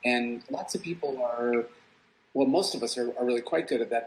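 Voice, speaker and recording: A man speaks with an American accent in a plain, everyday voice. His medium pitch holds fairly even intonation at a fairly quick pace. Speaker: psychology professor. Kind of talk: guest talk answering questions.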